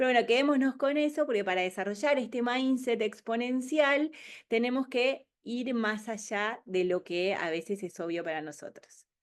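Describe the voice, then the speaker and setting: Against a quiet background, a woman speaks at a fairly high pitch with lively intonation. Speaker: keynote speaker on future trends. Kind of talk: webinar presentation. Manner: fast.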